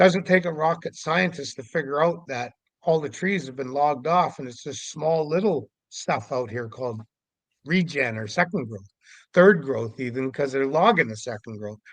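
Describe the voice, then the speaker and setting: With a normal speaking voice, a man talks at a moderate pace, his pitch fairly high and his intonation lively. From Canada, Vancouver Island, British Columbia. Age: 60s. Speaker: Sasquatch investigator. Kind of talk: podcast interview monologue.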